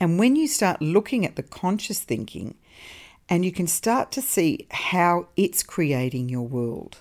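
A woman with a warm tone speaks at a fairly slow pace and fairly low pitch, making very wide pitch swings in a very clean recording with a silent background. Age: 50s. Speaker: podcast host on mindset and wellbeing. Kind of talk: solo motivational talk. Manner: warm, conversational.

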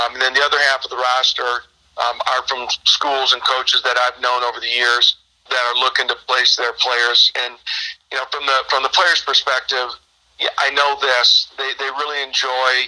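Speaking at a moderate pace in an American accent, a man keeps a medium pitch and a monotone, flat intonation. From Michigan, Birch Run near Flint. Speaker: baseball coach. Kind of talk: interview.

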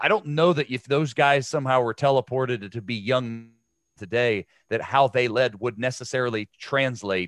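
In a Midwestern American accent, a man speaks at a moderate pace. The sound is dry and close with no echo, over a quiet background. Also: medium pitch for a man, ordinary pitch variation. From Ohio. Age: 40s. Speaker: former pro football player and sports broadcaster. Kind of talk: casual interview.

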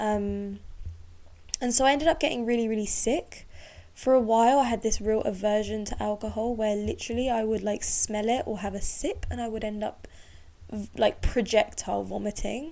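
Using ordinary pitch variation, a woman with a fairly high pitch speaks at a moderate pace. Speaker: womb healer and birth doula. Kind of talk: solo podcast monologue, personal story. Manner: unscripted, casual with laughs.

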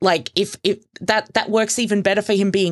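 A voice with an Australian accent over a quiet background. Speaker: podcaster. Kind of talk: casual chat.

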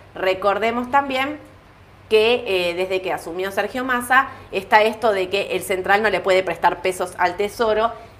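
Noticeable background noise sits behind a woman's medium-pitched voice. She speaks at a moderate pace with ordinary pitch variation. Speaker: stock market show host. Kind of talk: market commentary livestream.

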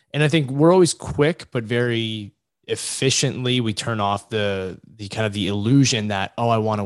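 This man has a plain, everyday voice with an American accent, a fairly low pitch and ordinary pitch variation. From US South, Virginia Beach area. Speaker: sports agent and entrepreneur. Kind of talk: casual interview.

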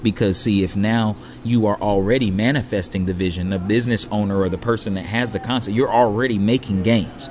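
A man with an American accent at a fairly low pitch, fairly quick and with hardly any pauses, fairly even in intonation, over noticeable background noise. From California. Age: 30s. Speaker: restaurant owner. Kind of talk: casual interview. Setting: on-site recording at restaurant.

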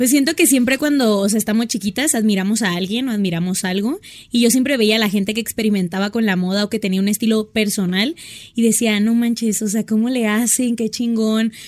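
Speaking at a fairly quick pace, a woman uses a fairly high pitch with ordinary pitch variation and an unremarkable speaking voice. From Sonora, northern Mexico. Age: 20s. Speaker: fashion influencer. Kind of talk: casual chat.

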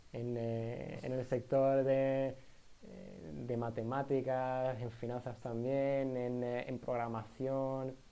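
Heard over noticeable background noise, the speaker uses an Andalusian accent with monotone, flat intonation at a very slow pace. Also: man, medium pitch for a man. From Andalusia, Spain (Jerez de la Frontera). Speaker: podcast co-host, university student. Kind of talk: casual chat. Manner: halting, many fillers.

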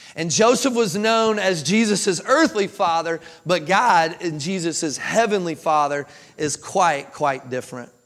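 A man with a Kentucky accent talks in a high pitch at a fairly slow pace. His tone is animated and his intonation lively. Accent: Kentucky Southern American. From Kentucky, US. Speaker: pastor. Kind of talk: sermon. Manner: animated, conversational with frequent repetitions.

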